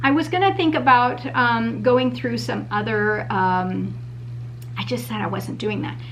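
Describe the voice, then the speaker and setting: The room echo is audible and background noise is noticeable. The speaking pace is moderate. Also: woman. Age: 50s. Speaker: beauty vlogger. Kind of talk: product review. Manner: casual, hesitant with many fillers.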